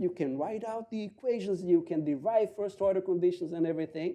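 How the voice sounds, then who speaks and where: A man with a Portuguese accent speaks in a dark, mellow tone with very wide pitch swings. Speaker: economist. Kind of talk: panel talk. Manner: halting.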